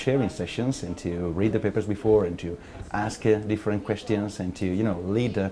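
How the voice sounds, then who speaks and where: Fairly low male voice with an Italian accent, a dark, mellow tone, a fairly quick pace and fairly even intonation. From Italy. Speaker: academic researcher. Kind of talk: interview testimony.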